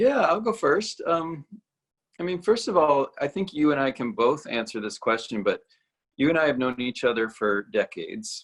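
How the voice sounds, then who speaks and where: The delivery keeps a moderate pace while the pitch swings very widely. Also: man, fairly high pitch for a man. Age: 50s. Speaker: ballet company artistic director. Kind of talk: casual conversation.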